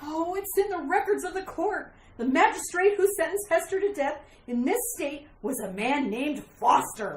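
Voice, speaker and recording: In a put-on character voice, a woman talks at a moderate pace with an extremely high pitch. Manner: frantic, pleading.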